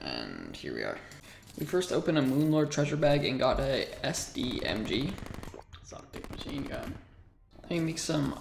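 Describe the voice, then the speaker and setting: Speech moves at a moderate pace. Background noise is noticeable. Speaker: gaming YouTuber. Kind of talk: gameplay commentary. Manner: animated.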